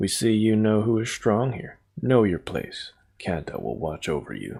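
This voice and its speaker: Putting on a booming character voice, a man speaks at a fairly low pitch and moderate pace. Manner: commanding, domineering.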